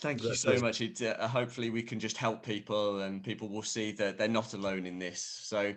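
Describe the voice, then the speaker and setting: The speaker has an unremarkable speaking voice and moves at a fairly quick pace with hardly any pauses. Intonation stays fairly even. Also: man, fairly low pitch for a man. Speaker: interviewer. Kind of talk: interview host.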